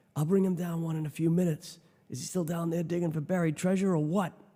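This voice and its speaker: In a put-on character voice, a man whispers at a very fast pace. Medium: read story. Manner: whispering.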